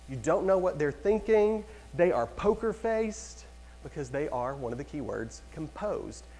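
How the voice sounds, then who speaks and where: Amid audible room echo, a man speaks at a moderate pace in an animated tone. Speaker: real estate trainer. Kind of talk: lecture.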